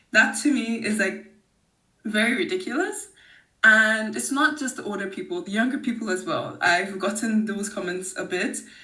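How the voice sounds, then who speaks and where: With audible room echo, a bright, sharp voice moves at a moderate pace with lively intonation. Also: woman, fairly high pitch for a woman. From Nigeria. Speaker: podcast guest. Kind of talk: casual interview conversation. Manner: hesitant, with fillers.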